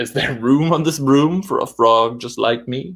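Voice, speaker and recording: A put-on character voice, croaky in texture, moves along at a moderate pace. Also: man, medium pitch for a man. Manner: playful, singsong rhyme.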